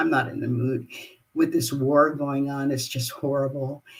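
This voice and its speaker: With an American accent, a woman's voice sits at a very deep, low pitch. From Los Angeles, California. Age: 80s+. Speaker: jazz singer. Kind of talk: live-streamed personal talk. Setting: live online broadcast.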